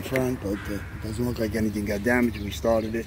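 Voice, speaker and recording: A man races along at a very fast pace, the sound dry with no echo and noticeable background noise behind him. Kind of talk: parts walkaround commentary. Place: garage. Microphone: phone near.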